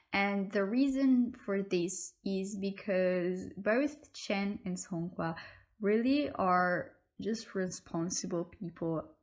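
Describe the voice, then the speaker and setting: Speaking at a very slow pace with a non-native accent, a woman shows ordinary pitch variation in a very clean recording with a silent background. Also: medium pitch for a woman. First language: not English. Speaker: YouTuber, K-pop fan. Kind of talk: casual vlog talk to camera. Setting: at home. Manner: hesitant, with fillers.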